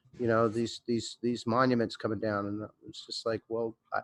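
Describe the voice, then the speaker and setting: Using a plain, everyday voice, a man talks at a medium pitch and fairly quick pace in a dry, close sound with no echo. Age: 50s. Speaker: record label owner. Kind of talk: panel discussion.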